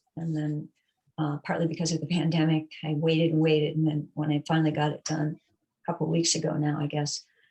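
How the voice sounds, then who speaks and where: Speaking at a very fast pace, a woman uses a very deep, low, somewhat breathy voice in a monotone, flat intonation. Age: 60s. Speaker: fitness client. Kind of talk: interview. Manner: hesitant, many fillers.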